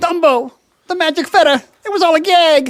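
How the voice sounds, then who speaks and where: An extremely high put-on character voice at a moderate pace. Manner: cartoonish, imitation.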